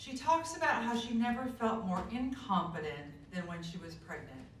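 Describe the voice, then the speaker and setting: A woman's fairly high voice at a moderate pace, with big swings in loudness, very wide pitch swings and noticeable background noise. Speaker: community member reader. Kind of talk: reading aloud from a book at a community event.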